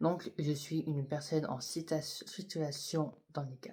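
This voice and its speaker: A man with a dark, mellow tone and a somewhat breathy voice speaks at a very slow pace. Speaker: YouTuber. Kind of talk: personal vlog testimony. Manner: halting; soft-spoken, whispery.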